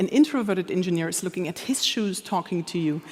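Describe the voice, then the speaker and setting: A woman with a German accent, medium-pitched, at a very fast pace, with ordinary pitch variation. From Germany, Anhalt-Bitterfeld. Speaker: humor expert, speaker. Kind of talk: conference talk. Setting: stage with audience.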